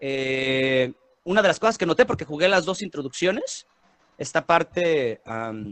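Lively intonation with a Mexican accent. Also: man. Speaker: podcast host. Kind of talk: casual chat. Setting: studio.

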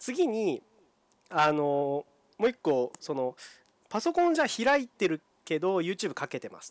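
A man with a high voice talks at a fairly slow pace, his pitch swinging very widely and his loudness shifting a lot, with long, frequent pauses in a dry, close recording free of echo. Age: 20s. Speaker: podcast co-host, camping blogger. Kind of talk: casual chat.

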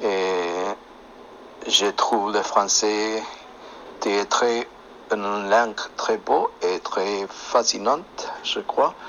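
A man talks at a very slow pace. His delivery has long, frequent pauses. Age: 50s. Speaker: chef, French learner. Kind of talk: interview in learner French. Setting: phone app call. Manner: halting.

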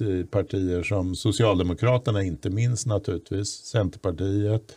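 A man's fairly low-pitched, dark and mellow voice, somewhat breathy, with ordinary pitch variation. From Stockholm, Bromma. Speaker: podcast host. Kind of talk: casual political chat.

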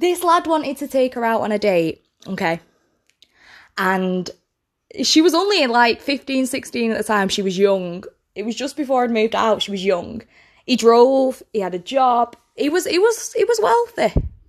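A woman speaks at a moderate pace in a high voice, her pitch swinging very widely. The recording is very clean, with a silent background. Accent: British. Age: 20s. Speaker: podcast host. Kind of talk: casual monologue.

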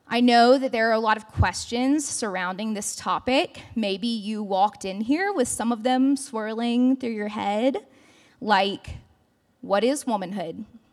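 A woman with an unremarkable speaking voice talks at a fairly slow pace, her fairly high pitch showing ordinary pitch variation. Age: 20s. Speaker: campus ministry speaker. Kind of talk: sermon. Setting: church service.

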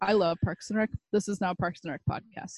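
Recorded dry and close with no echo, a woman in an ordinary speaking voice talks at a fairly quick pace and a medium pitch. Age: 20s. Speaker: podcast co-host. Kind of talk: casual chat.

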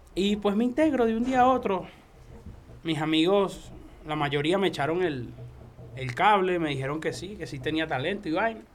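Audible room echo surrounds speech at a moderate pace with lively intonation. Long pauses come often. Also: man, high pitch for a man. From Venezuela. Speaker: freestyle rapper. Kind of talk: casual chat.

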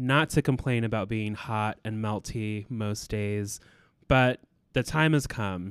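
A man speaks in a plain, everyday voice at medium pitch, fairly slow pace and with fairly even intonation. The recording is very clean with a silent background, the sound dry and close with no echo. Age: 30s. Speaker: real estate broker. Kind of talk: podcast monologue.

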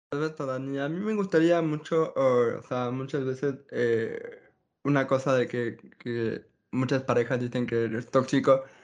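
A man speaks at a fairly slow pace in an ordinary speaking voice, with medium pitch and ordinary pitch variation. The background is quiet. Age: 30s. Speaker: podcast host. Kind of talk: casual chat.

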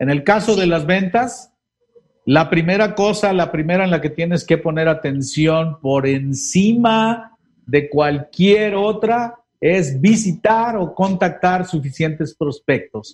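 Speaking at a very slow pace, a man uses a high pitch with ordinary variation. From Mexico, Guerrero state. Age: 50s. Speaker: sales expert. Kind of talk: interview on a live-streamed podcast.

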